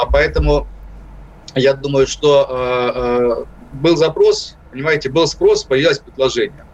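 A man speaks very slowly at a very even loudness, with long, frequent pauses. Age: 50s. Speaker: political analyst. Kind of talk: radio interview. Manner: halting, frequent hesitations.

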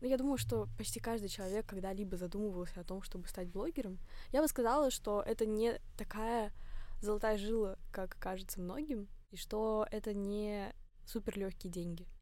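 Speaking at a moderate pace with ordinary pitch variation, a woman with a fairly high pitch is heard against audible room echo. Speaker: fitness blogger and student. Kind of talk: casual interview.

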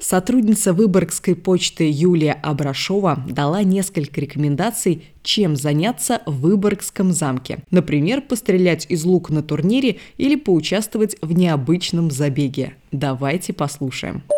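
A fairly low-pitched woman's voice, dark and mellow, with lively intonation, a fairly slow pace and hardly any pauses, on a very clean recording with a silent background. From Ulyanovsk, Russia. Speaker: podcast host. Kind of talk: scripted narration.

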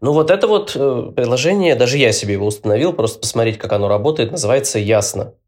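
The delivery comes at a very fast pace. Its intonation is lively. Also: man, medium pitch for a man. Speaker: podcast host, guest here. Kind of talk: casual chat. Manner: hesitant, many fillers.

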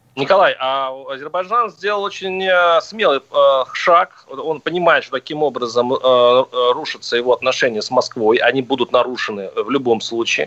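This man has a plain, everyday voice, fairly high in pitch, with lively intonation at a moderate pace. The sound is dry and close, with no echo. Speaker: radio host. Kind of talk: radio talk show debate. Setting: radio studio.

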